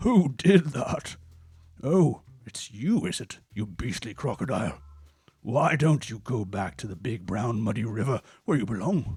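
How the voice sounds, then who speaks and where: A put-on character voice from a man, medium in pitch, at a moderate pace. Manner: indignant, scolding.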